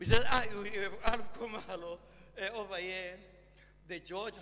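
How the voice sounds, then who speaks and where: A man's raised, projected voice, high in pitch, moves at a fairly slow pace with fairly even intonation amid audible room echo. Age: 80s+. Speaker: sculptor and poet. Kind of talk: memorial lecture speech. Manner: halting, many fillers.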